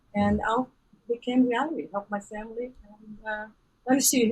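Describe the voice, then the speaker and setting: This woman talks with a Brazilian Portuguese accent. Her pitch is fairly high and her pace fairly quick. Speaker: business coach. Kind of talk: podcast interview. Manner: animated.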